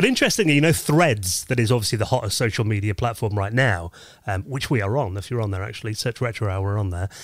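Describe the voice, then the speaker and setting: A man with a fairly low pitch speaks at a very fast pace, somewhat breathy, on a very clean recording with a silent background. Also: ordinary pitch variation. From northeast England. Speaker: podcast host. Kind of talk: interview; casual chat.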